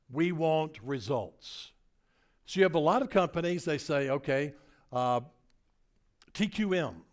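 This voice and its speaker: Animated and with very wide pitch swings, a man with a Tennessee accent talks at a fairly slow pace on a very clean recording with a silent background. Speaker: motivational speaker. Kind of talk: keynote presentation.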